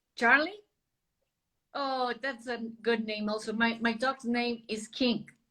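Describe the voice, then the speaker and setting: A woman with a bright, sharp, fairly high voice speaks fairly slowly in a Spanish accent, her intonation monotone and flat and her speech marked by long, frequent pauses. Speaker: interviewer. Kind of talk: interview.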